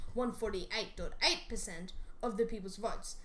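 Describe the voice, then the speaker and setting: A woman's voice with very wide pitch swings. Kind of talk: educational explainer narration.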